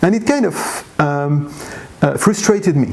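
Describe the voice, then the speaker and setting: Noticeable noise sits behind the speaker. He is a man whose intonation is lively. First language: not English. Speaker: blogger and language learner. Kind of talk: interview. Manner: halting, many fillers.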